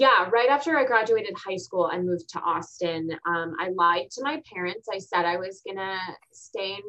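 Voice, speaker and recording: The voice is an unremarkable speaking voice. It moves at a moderate pace. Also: woman, hardly any pauses. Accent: American. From Texas. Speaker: TV show host. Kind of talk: interview conversation.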